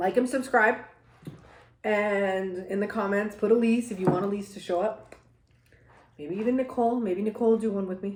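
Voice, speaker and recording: Amid noticeable background noise, a woman talks in an animated tone at a moderate pace, with long, frequent pauses. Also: medium pitch for a woman. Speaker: mukbang vlogger. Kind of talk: casual chat while eating.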